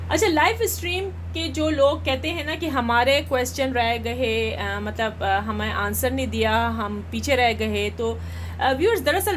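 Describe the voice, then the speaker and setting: A woman is speaking. Room echo is audible. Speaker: astrologer and tarot card reader. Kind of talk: live stream chat.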